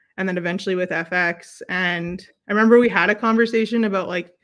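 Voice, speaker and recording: On a very clean recording with a silent background, a woman speaks at a medium pitch in a bright, sharp tone. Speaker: basketball coach and educator. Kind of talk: casual interview. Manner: loud; animated.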